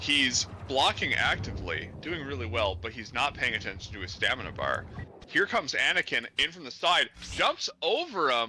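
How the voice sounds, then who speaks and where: Music plays in the background as a man speaks at a moderate pace. His medium-pitched voice swings very widely in pitch. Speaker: gamer giving commentary on a co-streamer's play. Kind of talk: mock sports-style play-by-play commentary. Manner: talkative, rambling.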